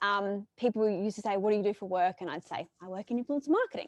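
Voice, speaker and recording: A woman's fairly high-pitched voice, dry and close with no echo, over a quiet background. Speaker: marketing agency expert. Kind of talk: presentation. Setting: stage with live audience. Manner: fast.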